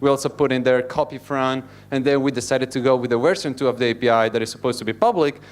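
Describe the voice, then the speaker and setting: A man with an Italian accent and a medium-pitched voice, very fast pace and fairly even intonation, in a very clean recording with a silent background. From Italy. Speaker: software engineer. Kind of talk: conference talk. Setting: stage with audience.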